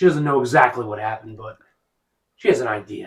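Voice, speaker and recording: Putting on a raspy character voice, a man talks very fast at a medium pitch with ordinary pitch variation. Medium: actual play. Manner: guarded, dismissive.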